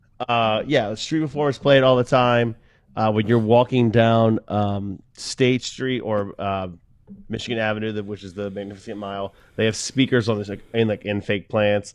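Over a quiet background, a man with an American accent talks at a fairly quick pace in a fairly low pitch with fairly even intonation and an unremarkable speaking voice. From Delaware, US. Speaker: podcast co-host, musician. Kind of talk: casual chat.

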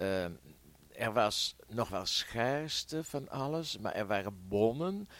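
Very wide pitch swings mark this man's voice. He talks at a very slow pace. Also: medium pitch for a man. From Netherlands, Veenendaal (Utrecht province). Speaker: war eyewitness. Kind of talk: oral history interview. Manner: hesitant, many fillers.

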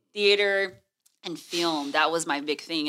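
A woman with an American accent and a bright, sharp tone. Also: very clean recording, silent background. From Texas, Houston. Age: 30s. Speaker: TV news anchor. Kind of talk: casual chat.

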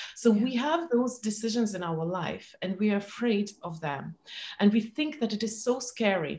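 This woman's medium-pitched voice is somewhat breathy, with lively intonation. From former Soviet Union. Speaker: entrepreneur and speaker. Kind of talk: interview. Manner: halting.

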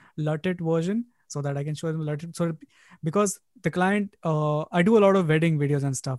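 With an Indian accent, a man speaks at a high pitch with ordinary pitch variation and a dry, close sound with no echo. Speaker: podcast host. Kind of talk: interview conversation.

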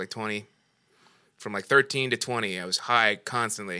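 A very clean recording with a silent background captures a man at a medium pitch, his tone bright and sharp, his pitch varying in an ordinary way. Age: 50s. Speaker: comedian. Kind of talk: casual chat.

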